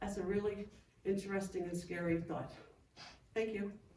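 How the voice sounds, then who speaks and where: A woman's medium-pitched voice amid audible room echo. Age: 60s. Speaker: resident giving public comment. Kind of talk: public comment at town board meeting. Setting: town board meeting room.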